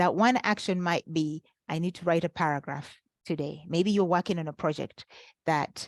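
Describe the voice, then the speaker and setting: Fairly even intonation in a non-native accent, with a dry, close sound and no echo. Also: woman, fairly low pitch for a woman, moderate pace, quiet background. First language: not English. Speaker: life coach. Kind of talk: webinar workshop. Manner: halting with fillers.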